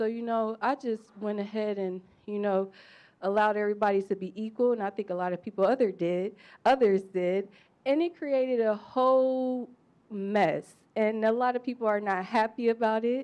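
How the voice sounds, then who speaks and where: A woman's fairly high voice, an ordinary speaking voice with ordinary pitch variation, at a moderate pace against a quiet background. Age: young. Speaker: audience member. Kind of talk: panel discussion question.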